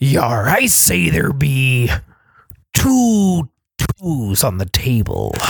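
Using a put-on character voice at a low-to-middle pitch, the speaker goes at a very slow pace with long, frequent pauses. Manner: playful, exaggerated.

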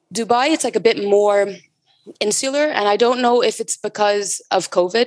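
A woman's plain, everyday voice, fairly high in pitch with ordinary pitch variation, in an American accent at a moderate pace. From US West Coast, San Francisco Bay Area. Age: 20s. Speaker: bar industry brand ambassador. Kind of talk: casual interview.

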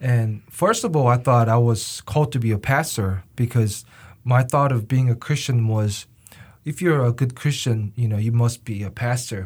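A man's medium-pitched, somewhat breathy voice with a Korean accent, moderate pace and ordinary pitch variation, on a very clean recording with a silent background. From South Korea. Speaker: university student. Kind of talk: interview.

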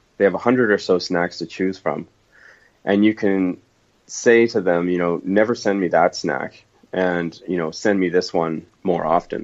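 The man's pitch is very deep and low. His intonation stays fairly even. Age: 30s. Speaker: entrepreneur. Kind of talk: interview.

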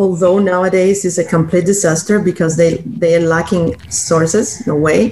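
A woman's fairly low voice with a Cuban accent, ordinary pitch variation, very even loudness and a moderate pace, over noticeable background noise. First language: Spanish. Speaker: blind community member. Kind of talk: interview.

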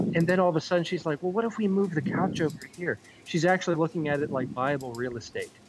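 Very fast, high-pitched male speech with ordinary pitch variation, music playing in the background. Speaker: podcast caller and friend of the show. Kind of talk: casual chat.

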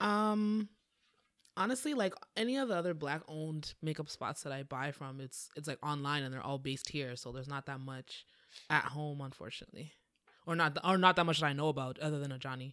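Speaking at a fairly quick pace with a Toronto accent, a woman has a very deep, low pitch and ordinary pitch variation. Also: big swings in loudness. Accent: Canadian (Toronto) English. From Toronto, Canada. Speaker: writer and content creator. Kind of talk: casual chat. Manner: hesitant, many fillers.

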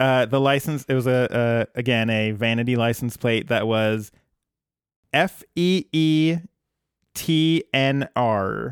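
A man's medium-pitched voice at a very slow pace with very even loudness, in a very clean recording over a silent background. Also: ordinary pitch variation. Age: 30s. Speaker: podcast co-host. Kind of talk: casual chat. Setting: home recording with cat.

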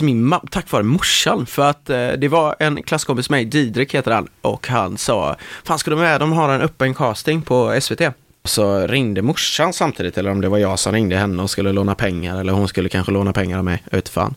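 A man talks at a fairly quick pace with very wide pitch swings and very even loudness. The recording is very clean, with a silent background. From west Sweden (Marstrand, near Gothenburg). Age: 20s. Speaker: actor. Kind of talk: casual interview chat. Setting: studio.

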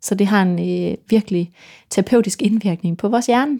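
A woman's dark, mellow voice at a moderate pace, dry and close with no echo, on a very clean recording with a silent background. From Denmark, Vendsyssel (north Jutland west coast). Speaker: violinist and composer. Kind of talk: interview conversation.

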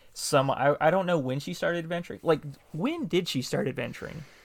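On a very clean recording with a silent background, a man with a Southern US accent talks at a fairly quick pace. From US South. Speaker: podcast host interviewer. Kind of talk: casual interview chat.

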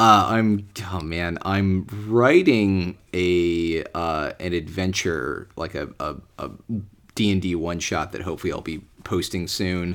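In a very clean recording with a silent background, a man with an American accent talks fairly slowly at a very deep, low pitch with ordinary pitch variation. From United States. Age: 20s. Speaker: deli manager and podcast guest. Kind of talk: casual interview. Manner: hesitant, many fillers.

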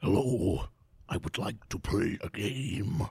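A man speaks at a fairly slow pace in a rumbling, put-on character voice of medium pitch. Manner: scary, menacing.

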